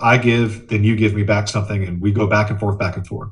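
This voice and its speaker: Audible room echo is present. The voice sounds somewhat breathy. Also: man. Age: 40s. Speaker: communication trainer. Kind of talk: webinar presentation. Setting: video conference via laptop. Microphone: laptop microphone.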